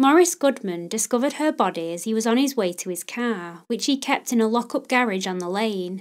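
A woman with a plain, everyday voice talks at a fairly quick pace and a fairly high pitch with lively intonation, in a very clean recording with a silent background. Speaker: podcast host. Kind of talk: true-crime narration, scripted and read aloud. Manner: solemn, measured, even-paced storytelling; formal, serious, respectful toward victims.

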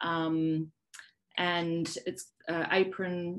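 With an Australian accent, a woman is talking. Her voice is fairly low-pitched. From South Australia. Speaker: poet and academic. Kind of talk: panel presentation. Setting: video call.

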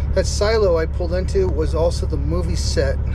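Loud background noise surrounds a man speaking. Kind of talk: casual vlog chat. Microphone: phone near.

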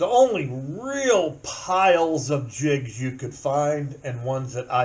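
The voice is somewhat breathy and moves at a very slow pace. Its pitch varies in an ordinary way. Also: man. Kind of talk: casual tutorial chat. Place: workshop. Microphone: phone near.

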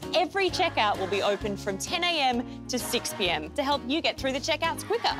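The speaker keeps up a fairly quick pace while music sounds in the background. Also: woman. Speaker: voice actor. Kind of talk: TV commercial read.

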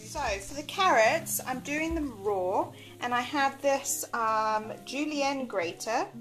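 Faint music plays behind a woman with a high pitch who speaks very slowly with ordinary pitch variation. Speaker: home cook vlogger. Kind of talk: casual vlog chat. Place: kitchen. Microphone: phone near.

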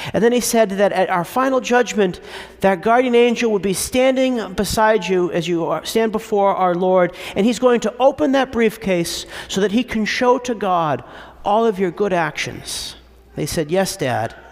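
A man's high-pitched voice, animated and warm in tone, with ordinary pitch variation. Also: moderate pace. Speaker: priest. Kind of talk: sermon. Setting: church. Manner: clear, persuasive preacher's cadence with a laugh and a storytelling tone. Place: church. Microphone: podium.

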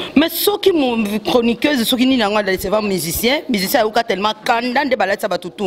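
Against light background noise, a woman talks at a fairly slow pace with a fairly high pitch. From DR Congo. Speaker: celebrity journalist; interview guest, media commentator. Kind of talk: casual interview. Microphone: handheld.

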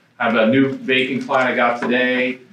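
Audible room echo surrounds a man speaking at a moderate pace and medium pitch. His tone is bright and sharp, with little pitch movement.

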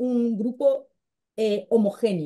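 A woman's fairly high voice with a dark, mellow tone, in a Brazilian accent, over a quiet background. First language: Portuguese (speaking Spanish). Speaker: fact-checking journalist. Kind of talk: panel discussion. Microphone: webcam.

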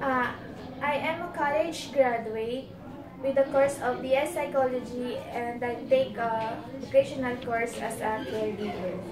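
With a Filipino accent, a woman talks at a fairly slow pace in a high pitch with ordinary pitch variation. Background noise is noticeable. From Philippines. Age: 30s. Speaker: domestic helper applicant. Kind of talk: job interview. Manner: halting. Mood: polite, slightly nervous. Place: empty room. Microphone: camera far.

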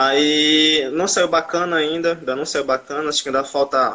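This man has a fairly high pitch. He speaks in a flat monotone. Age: 20s. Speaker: aspiring fries-stand entrepreneur; guest. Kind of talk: interview; casual conversation on a call. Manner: fast; halting. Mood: hesitant, a bit discouraged. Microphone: video call.

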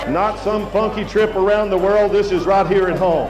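Clear music plays in the background as a man speaks at a high pitch. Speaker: professional auctioneer. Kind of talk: live charity auction. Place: tent. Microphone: pa.

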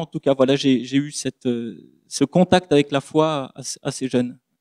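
A man with a fairly high voice and a dark, mellow tone talks at a very slow pace with fairly even intonation over a quiet background. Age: 30s. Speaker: pastor. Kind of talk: public debate talk; public talk / panel discussion. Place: stage. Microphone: handheld.

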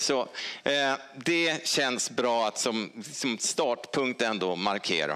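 Over a quiet background, a man talks at a very slow pace with a bright, sharp tone, lively intonation and very even loudness. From Sweden, Stockholm; Sweden. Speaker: honorary doctor; honorary doctor giving lecture. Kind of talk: lecture. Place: hall.

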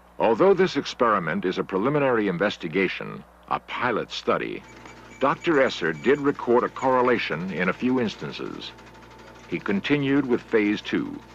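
With light background noise and a dry sound with no echo, a man speaks with vocal fry and very wide pitch swings. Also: moderate pace. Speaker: documentary narrator. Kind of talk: documentary narration.

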